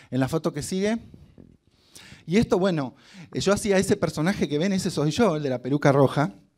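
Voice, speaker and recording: With a quiet background, a man speaks at a fairly quick pace in an animated tone with lively intonation and long, frequent pauses. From Argentina, Concordia (Entre Ríos); Entre Ríos, Argentina. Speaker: hotel marketing director and actor giving a motivational talk; actor giving a motivational talk. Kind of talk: motivational talk to students. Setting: stage with student audience. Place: hall. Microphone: handheld.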